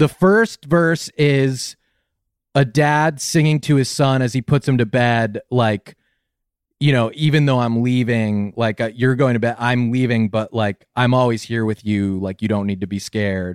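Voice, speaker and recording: A man with a normal speaking voice talks fairly slowly at a medium pitch with ordinary pitch variation, the sound dry and close with no echo on a very clean recording with a silent background. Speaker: podcaster. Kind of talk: casual chat.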